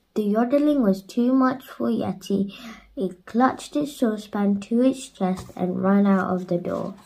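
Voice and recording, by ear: A reading aloud delivered in a natural voice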